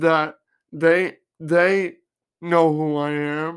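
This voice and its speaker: A fairly high-pitched man in a monotone, flat delivery, captured in a very clean recording with a silent background. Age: 20s. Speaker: podcaster. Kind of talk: casual solo monologue. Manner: loud.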